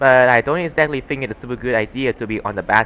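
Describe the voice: This plain reading aloud has pitch that varies in an ordinary way.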